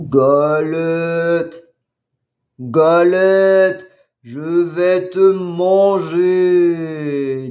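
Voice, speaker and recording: A man puts on a character voice at a high pitch. He talks at a very slow pace. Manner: threatening, hungry.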